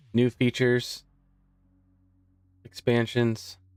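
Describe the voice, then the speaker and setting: A man speaks at a medium pitch. Music plays in the background, and the sound is dry and close with no echo. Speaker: live stream host presenting a trading bot. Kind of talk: casual live stream tutorial. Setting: live stream with background music. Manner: casual, chatty.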